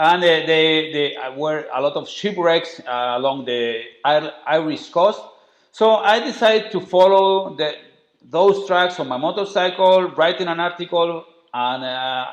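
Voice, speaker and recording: A man with a high voice talks fairly slowly, his pitch varying in an ordinary way. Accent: strong Spanish. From Spain. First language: Spanish. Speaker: travel writer and documentary maker. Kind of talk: interview. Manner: halting.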